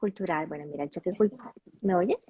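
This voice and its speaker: A woman with a Colombian accent speaks at a medium pitch with ordinary pitch variation and a somewhat breathy sound, recorded dry and close with no echo. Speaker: intercultural coach. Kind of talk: interview. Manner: halting, many fillers and restarts.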